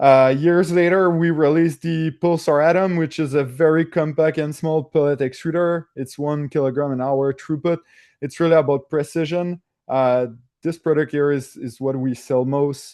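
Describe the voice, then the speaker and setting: A man speaks in a French-Canadian accent at a moderate pace. His pitch is fairly high, with fairly even intonation. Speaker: engineer at a 3D printing hardware company. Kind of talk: technical presentation. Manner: hesitant, many filler sounds.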